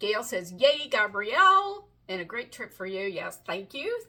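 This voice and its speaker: Animated in tone, a woman with an American accent talks at a moderate pace. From West Virginia, US. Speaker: romance author. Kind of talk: casual live-stream chat. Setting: live video stream at home desk. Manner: chatty, animated.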